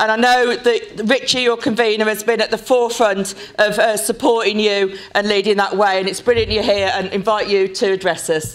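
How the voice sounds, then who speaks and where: Words come at a moderate pace, with hardly any pauses between them. Background noise is noticeable throughout. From Birmingham, England. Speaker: union official. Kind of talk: speech. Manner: halting.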